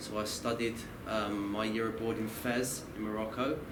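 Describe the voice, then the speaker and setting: A man with a Kent accent, with audible room echo and noticeable background noise. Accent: Kent, southern English. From southern England, Kent (Maidstone). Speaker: Islamic studies teacher and counsellor. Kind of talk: lecture. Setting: university talk with audience. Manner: halting, with many false starts.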